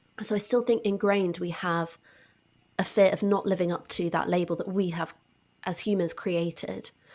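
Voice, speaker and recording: Someone speaks in a southern English accent at a moderate pace with fairly even intonation. The recording is very clean, the background silent. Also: woman, medium pitch for a woman. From southwest England, Devon. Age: 20s. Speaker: science communicator and author. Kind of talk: podcast interview.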